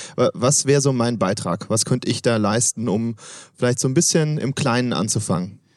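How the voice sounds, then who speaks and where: An ordinary speaking voice from a man at medium pitch, with ordinary pitch variation and a moderate pace, over a quiet background. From Swabia, southwest Germany. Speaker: podcast host. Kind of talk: interview. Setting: at a conference.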